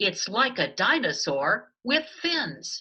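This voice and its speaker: A put-on character voice drags along at a very slow pace with a fairly high pitch. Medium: read story.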